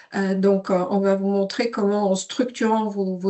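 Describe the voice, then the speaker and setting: The woman speaks at a fairly slow pace. Her pitch is medium. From Sweden. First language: Swedish (speaking French). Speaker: software company CEO. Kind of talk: webinar presentation. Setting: online webinar. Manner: hesitant, many fillers.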